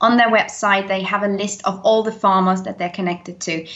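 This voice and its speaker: A woman speaks with a British accent at a medium pitch. Her intonation is fairly even. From Denmark. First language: Danish. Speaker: eco YouTuber. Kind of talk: interview.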